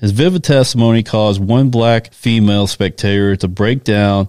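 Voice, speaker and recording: A man with an American accent talks at a moderate pace in a fairly low pitch with fairly even intonation, an unremarkable speaking voice. The recording is very clean with a silent background and a dry, close sound with no echo. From US South small town. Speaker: podcast co-host. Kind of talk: casual chat with reading from notes.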